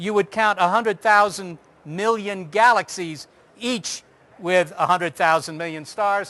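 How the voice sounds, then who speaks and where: In an American accent, the speaker uses a raised, projected voice with a bright, sharp tone and lively intonation at a moderate pace against a quiet background. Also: man. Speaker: astronomer giving public talk. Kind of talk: public lecture.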